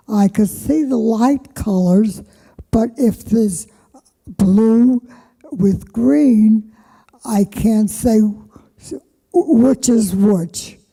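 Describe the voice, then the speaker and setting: A woman speaks very slowly at a fairly high pitch, with long, frequent pauses and very even loudness. Her tone is dark, mellow and somewhat breathy, and her pitch varies in an ordinary way. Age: 90s. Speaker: senior resident artist. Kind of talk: panel talk.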